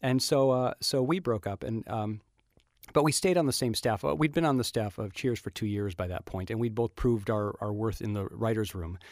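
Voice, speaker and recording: Speaking at a fairly quick pace, a man with an unremarkable speaking voice and a medium pitch uses lively intonation. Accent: American. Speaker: TV writer and producer. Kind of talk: interview. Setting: studio.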